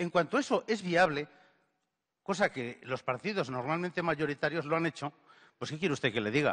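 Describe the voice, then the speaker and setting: In a dry, close recording with no echo, a man with a fairly high voice and lively intonation speaks at a fairly quick pace, broken by long, frequent pauses. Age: 60s. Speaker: audience member. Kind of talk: audience question at a lecture.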